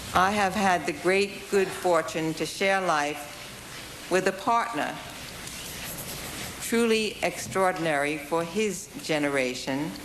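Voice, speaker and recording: Over noticeable background noise, a woman talks at a very slow pace with very even loudness. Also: fairly low pitch for a woman, ordinary pitch variation. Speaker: Supreme Court justice. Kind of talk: confirmation hearing statement.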